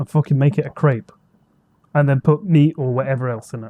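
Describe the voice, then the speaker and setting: A man with a British accent, a fairly high pitch, ordinary pitch variation and a dark, mellow tone, in a dry, close sound with no echo. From Britain. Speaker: podcast co-host. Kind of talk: casual chat. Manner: animated.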